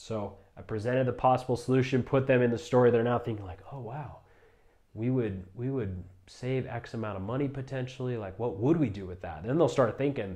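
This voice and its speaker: A man's fairly quick, somewhat breathy speech, medium in pitch and dark and mellow in tone, with ordinary pitch variation. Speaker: solar sales trainer. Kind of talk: tutorial. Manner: fast.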